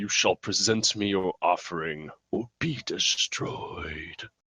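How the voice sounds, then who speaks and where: A man's booming, growling put-on character voice, fairly low in pitch and fairly slow in pace. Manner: booming, commanding.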